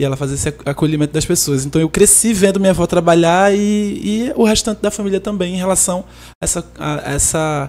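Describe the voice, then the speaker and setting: Her tone dark and mellow, a woman talks at a moderate pace. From Recife, Pernambuco, Brazil. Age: 30s. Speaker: singer-songwriter. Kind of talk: podcast interview. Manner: halting.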